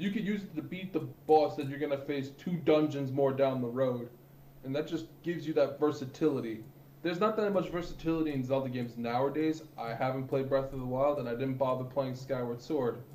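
There is audible room echo around a man speaking at a fairly quick pace. His pitch is fairly high with ordinary variation. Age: 20s. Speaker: Twitch streamer and podcaster. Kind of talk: casual chat.

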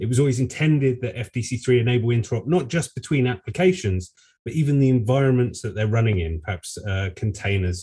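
On a very clean recording with a silent background, a man with medium pitch sounds somewhat breathy, with a dark, mellow tone. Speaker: project maintainer giving update. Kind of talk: community call presentation.

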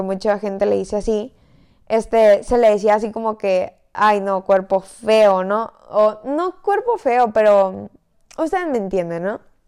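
The recording is very clean, with a silent background. A woman of fairly high pitch speaks fairly slowly with ordinary pitch variation. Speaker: podcast host. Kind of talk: casual chat. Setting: in bed at home. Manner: lying down while talking.

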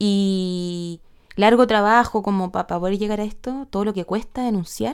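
A woman with a Chilean accent speaks at a medium pitch with fairly even intonation in a very clean recording with a silent background. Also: moderate pace. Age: 30s. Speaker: podcast host. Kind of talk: solo podcast monologue. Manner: halting, many repetitions and fillers.

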